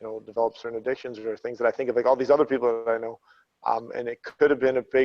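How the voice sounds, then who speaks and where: A man's voice at a medium pitch. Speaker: former fighter, athletics coach. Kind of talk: casual chat. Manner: mumbling.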